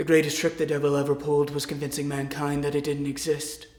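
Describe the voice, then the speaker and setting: A man puts on a character voice, fairly high in pitch and monotone and flat. He rattles along at a very fast pace with a slight echo. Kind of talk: mockumentary interview answer. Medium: stage. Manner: gruff, deadpan, folksy.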